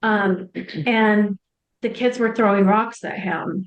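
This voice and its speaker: A woman's medium-pitched, monotone, flat delivery at a fairly slow pace. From Canada. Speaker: mother of guest. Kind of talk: interview testimony. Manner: halting.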